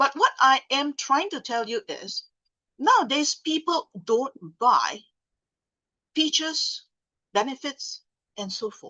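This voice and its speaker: Loud and projected, a woman speaks at a high pitch in a bright, sharp tone, very slowly, with very wide pitch swings, big swings in loudness, and long, frequent pauses, all in a dry, close sound with no echo. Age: 60s. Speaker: sales trainer. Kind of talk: seminar talk.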